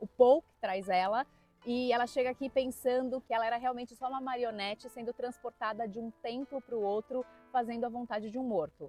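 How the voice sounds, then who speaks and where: Over music in the background, a woman talks at a fairly quick pace and a high pitch with fairly even intonation and big swings in loudness, the sound dry and close with no echo. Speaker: book youtuber. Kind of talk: travel vlog.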